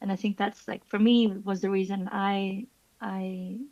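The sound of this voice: A woman speaks at a fairly slow pace and medium pitch. Her tone is slightly mellow, with little pitch movement.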